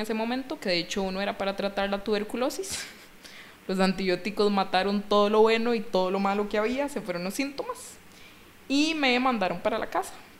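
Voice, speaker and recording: A woman's medium-pitched voice with a Costa Rican accent, a fairly quick pace, and noticeable background noise. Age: 20s. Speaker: CrossFit coach. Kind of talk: casual chat.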